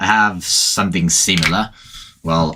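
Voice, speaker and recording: A man with a Finnish accent speaks at a fairly slow pace. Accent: Finnish accent, clearly audible. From Finland. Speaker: gaming streamer. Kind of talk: casual chat. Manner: halting.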